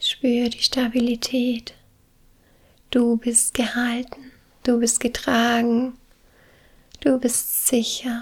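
In a high pitch and a soothing, calm tone, a woman speaks monotone and flat at a very slow pace with long, frequent pauses. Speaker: meditation guide. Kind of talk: guided meditation. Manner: slow, soothing, calm; gentle, warm, with long pauses.

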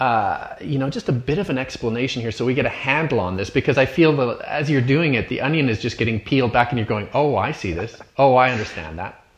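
Over noticeable background noise, a man with a Canadian accent speaks very fast at medium pitch, with lively intonation and hardly any pauses. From Canada. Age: 50s. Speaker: podcast host. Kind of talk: interview.

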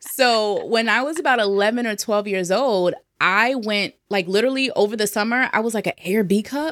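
A woman talks fairly quickly in an American accent with a normal speaking voice, fairly high in pitch with ordinary pitch variation. The recording is very clean, with a silent background. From New Jersey. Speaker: sales messaging and mindset coach. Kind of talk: casual interview.

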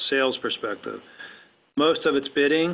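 A man speaks at a moderate pace with fairly even intonation. He has an unremarkable speaking voice. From West Virginia. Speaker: defense contracting business owner. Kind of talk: interview.

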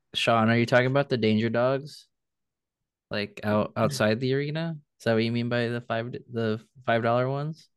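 A man with a plain, everyday voice speaks at a moderate pace and medium pitch, his intonation fairly even. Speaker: podcast host. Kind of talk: casual sports podcast chat.

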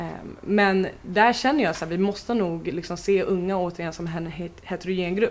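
In a normal speaking voice, a woman talks at a moderate pace and medium pitch, with ordinary pitch variation and big swings in loudness. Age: 20s. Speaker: youth participation project leader. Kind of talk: interview.

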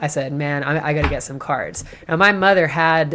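This is a woman speaking with an American accent. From Massachusetts, Boston area. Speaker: tarot practitioner and social worker. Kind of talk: casual interview chat. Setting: treehouse studio in the hills.

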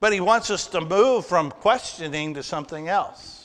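A bright, sharp tone with ordinary pitch variation. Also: man, quiet background. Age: 60s. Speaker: pastor. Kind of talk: sermon. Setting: church.

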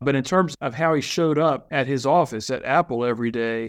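Over a quiet background, a man with an American accent speaks at a moderate pace in a medium pitch, with ordinary pitch variation and an ordinary speaking voice. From Virginia. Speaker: association executive. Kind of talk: interview.

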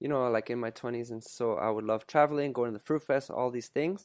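A man's normal speaking voice with a Canadian accent, medium pitch and ordinary pitch variation at a fairly quick pace, in a very clean, dry, close recording with a silent background and no echo. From Canada. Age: 30s. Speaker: content creator and coach. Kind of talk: casual interview conversation.

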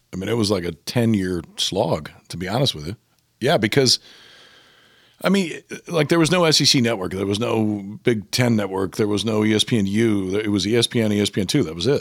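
A man with an American accent talks fairly quickly in a fairly low pitch with lively intonation, an ordinary speaking voice. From Nebraska, Omaha. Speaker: baseball analyst and former pitcher. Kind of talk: casual chat.

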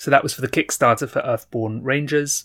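Quick-ish in pace, a man with a plain, everyday voice and ordinary pitch variation sounds dry and close with no echo. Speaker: podcast host. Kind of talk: casual chat. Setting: home recording with windows closed. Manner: joking, humorous.

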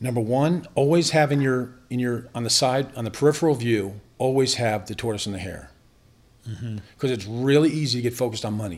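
Fairly quick speech from a man with an ordinary speaking voice, mid-pitched, with ordinary pitch variation. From Northern Virginia, US. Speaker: business owner. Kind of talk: casual interview.

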